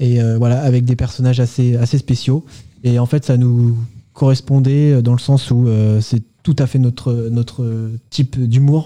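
A man speaks at a fairly slow pace in a medium pitch, his intonation monotone and flat. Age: 20s. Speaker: aerospace engineering graduate. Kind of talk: radio interview. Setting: radio studio. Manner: hesitant, many fillers.

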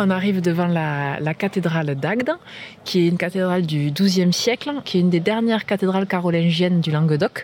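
An unremarkable speaking voice, this woman talks at a fairly quick pace with fairly low pitch, ordinary pitch variation and very even loudness. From southwest France, Comminges near Toulouse. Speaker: local guide. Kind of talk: guided walking tour.

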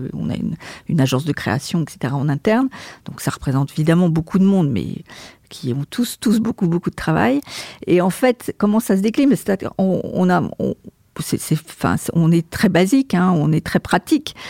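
A woman with a dark, mellow tone and vocal fry swings her pitch very widely in a very clean recording with a silent background. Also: fairly low pitch for a woman, moderate pace, dry, close sound with no echo. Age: 60s. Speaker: marketing and communications director. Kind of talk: interview. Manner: hesitant, repeats words.

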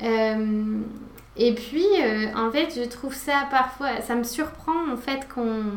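In a room with audible echo and noticeable background noise, a woman speaks at a very slow pace in a high pitch with ordinary pitch variation. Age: 40s. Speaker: yoga teacher. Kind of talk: casual chat. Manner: soft-spoken.

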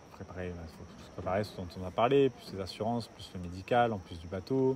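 A man with a very deep, low pitch and ordinary pitch variation talks over noticeable background noise. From southern France. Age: 20s. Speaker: sailor. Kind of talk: casual interview.

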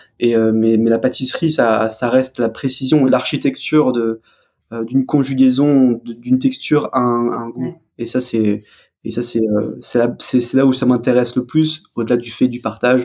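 In a dark, mellow tone, a man talks at medium pitch and a fairly slow pace with monotone, flat intonation. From Alsace, France. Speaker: pastry chef and drinks creator. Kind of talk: interview. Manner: halting, many repetitions.

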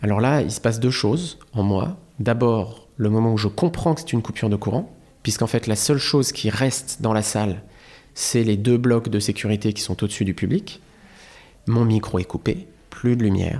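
In a very clean recording with a silent background, a man with a dark, mellow tone talks at a moderate pace. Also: medium pitch for a man, ordinary pitch variation. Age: 30s. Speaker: comedian. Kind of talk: casual chat. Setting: studio. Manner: halting.

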